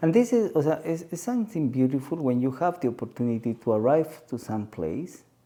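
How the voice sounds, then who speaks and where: Barely pausing, a man talks at a fairly quick pace in a dark, mellow tone, with very wide pitch swings. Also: fairly high pitch for a man. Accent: Peruvian. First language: Spanish. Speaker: spiritual guide. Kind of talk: podcast conversation. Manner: halting.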